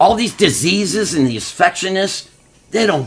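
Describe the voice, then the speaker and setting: A man talks in an animated tone with very wide pitch swings. Noticeable background noise runs behind him. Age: 60s. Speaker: guest sharing life story. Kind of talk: casual chat. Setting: at home.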